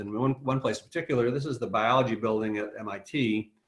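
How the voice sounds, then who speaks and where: Here a man talks at a fairly quick pace and a medium pitch, with ordinary pitch variation. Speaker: high school biology teacher. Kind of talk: webinar presentation. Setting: video call. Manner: fast.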